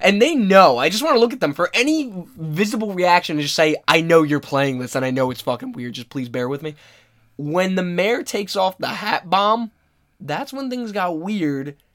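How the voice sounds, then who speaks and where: At a moderate pace, a man speaks in a high voice with very wide pitch swings and big swings in loudness. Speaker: podcast host, video game talk. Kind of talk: casual chat.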